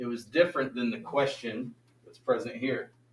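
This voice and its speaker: Lively intonation marks this man's plain, everyday voice. He talks at a moderate pace and a medium pitch. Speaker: math teacher. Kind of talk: classroom lecture. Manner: casual, conversational.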